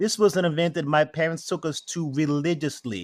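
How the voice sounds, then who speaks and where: Recorded with a dry, close sound and no echo, a man with a New York accent speaks at a moderate pace in a fairly high pitch. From New York City, Queens and Brooklyn. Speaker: spirits maker. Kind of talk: interview.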